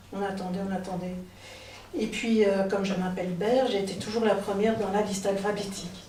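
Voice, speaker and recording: Amid noticeable background noise and audible room echo, a woman speaks at a moderate pace and a medium pitch, her intonation monotone and flat. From Belgium, near Liège. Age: 60s. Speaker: storyteller. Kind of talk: personal storytelling. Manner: hesitant, many filler sounds.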